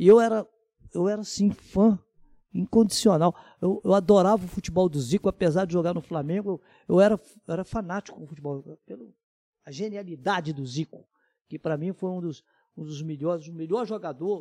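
A man's high-pitched voice has a dark, mellow tone and moves at a fairly quick pace, with ordinary pitch variation, big swings in loudness, and a dry, close sound with no echo. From Minas Gerais, Zona da Mata. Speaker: sports radio announcer and reporter. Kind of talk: casual chat.

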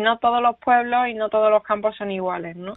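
In an Andalusian accent, a woman speaks at a fairly high pitch with fairly even intonation. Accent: Andalusian accent, kept. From Andalusia, Spain. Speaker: writer and veterinarian. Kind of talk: interview.

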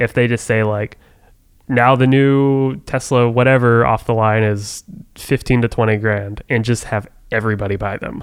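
A plain, everyday voice from a man at a medium pitch, with an American accent, fairly even intonation and a moderate pace. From Oklahoma. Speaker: podcast co-host. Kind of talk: casual chat.

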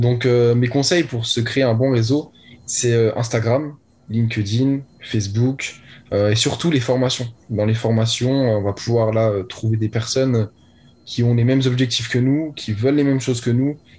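Against a quiet background, a man speaks at a medium pitch in a somewhat breathy voice, with very even loudness and fairly even intonation. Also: fairly slow pace. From France, Lorraine (Nancy). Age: young. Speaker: young online entrepreneur. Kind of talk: interview.

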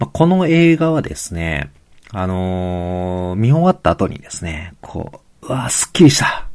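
His loudness shifting widely, a man talks at a fairly slow pace. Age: middle-aged. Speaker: podcast host, physical therapist and amateur road cyclist. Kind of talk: solo podcast monologue. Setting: home room. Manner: polite, many filler words.

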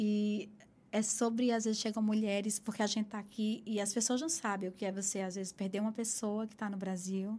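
Speaking at a fairly quick pace, a woman with a fairly high pitch has a dark, mellow tone, a somewhat breathy quality and monotone, flat intonation. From Caruaru, Pernambuco, Brazil (Northeast). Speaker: aesthetician and entrepreneur. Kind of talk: interview.

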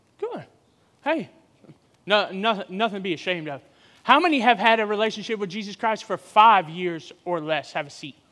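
In a raised, projected voice with a bright, sharp tone, the speaker talks at a moderate pace with an animated tone, lively intonation, big swings in loudness, and long, frequent pauses. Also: man, high pitch for a man. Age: 40s. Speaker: guest preacher. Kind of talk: sermon. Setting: church with live audience.

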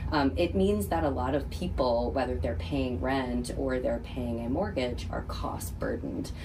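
A woman's very deep, low pitch with very wide pitch swings, a fairly slow pace and hardly any pauses, over noticeable background noise. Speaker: nonprofit philanthropy director. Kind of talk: radio interview.

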